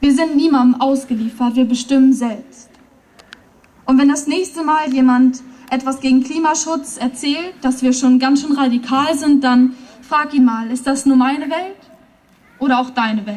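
A woman with a high pitch talks at a moderate pace with fairly even intonation. Long, frequent pauses break up her speech. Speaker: poetry slam performer. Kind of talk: poetry slam performance at a rally. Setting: outdoors, PA system. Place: stage. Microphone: podium.

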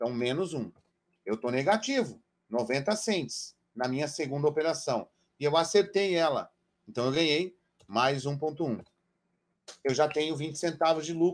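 On a very clean recording with a silent background, a man speaks at a fairly high pitch with ordinary pitch variation. His pace is fairly slow, broken by long, frequent pauses. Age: 40s. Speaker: trader and trading educator. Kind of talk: live-stream trading lesson. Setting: live stream with chat. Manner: animated, addresses audience directly.

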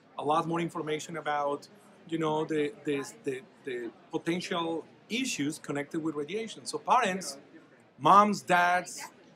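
Against noticeable background noise, a man talks at a moderate pace. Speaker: dental radiology expert. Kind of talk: interview answer. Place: hall. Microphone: phone near.

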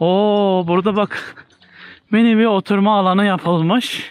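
A man's voice, dry sound with no echo. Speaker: travel vlogger. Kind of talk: casual vlog narration. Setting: outdoors. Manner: animated. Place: forest. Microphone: phone near.

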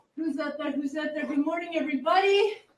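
A woman is speaking. Audible room echo and light background noise surround her voice. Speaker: fitness instructor. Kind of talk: workout coaching.

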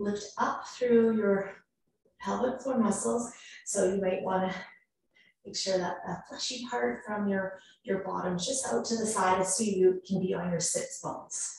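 A woman speaks at a fairly slow pace in a plain, everyday voice, her medium pitch showing ordinary variation. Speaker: yoga instructor. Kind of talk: guided yoga class. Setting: online live class, computer on mat. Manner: calm, clear, paced cueing.

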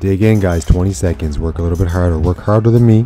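Faint music plays in the background as a man talks with ordinary pitch variation. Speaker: boxing fitness instructor. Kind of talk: workout coaching. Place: gym.

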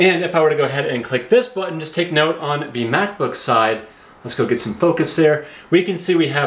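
Fairly quick speech with audible room echo. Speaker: tech reviewer. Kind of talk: tutorial. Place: home room.

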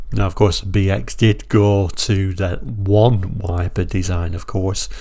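Speaking very slowly with a British accent, a man has a somewhat breathy, dark, mellow tone at a fairly low pitch with ordinary pitch variation. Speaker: car brochure reviewer. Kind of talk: solo video review.

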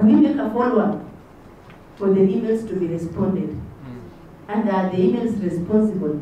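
A woman speaks at a medium pitch, with strong room echo and light background noise. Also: lively intonation, moderate pace. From Kenya, Bungoma County; Kenya. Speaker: panelist. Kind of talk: panel discussion. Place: hall.

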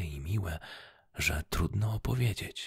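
A soft-spoken man's whisper at a very slow pace, soothing in tone with vocal fry, in a dry sound with no echo against a quiet background. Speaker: ASMR storyteller. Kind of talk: bedtime story read aloud in a whisper. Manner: soft, slow, soothing whispered narration. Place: home room. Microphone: studio mic.

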